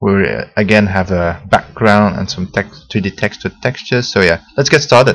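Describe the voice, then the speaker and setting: With vocal fry and a fairly low pitch, a man talks at a moderate pace with ordinary pitch variation. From Belgium. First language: Dutch. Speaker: software tutorial maker. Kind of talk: tutorial. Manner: hesitant, many fillers.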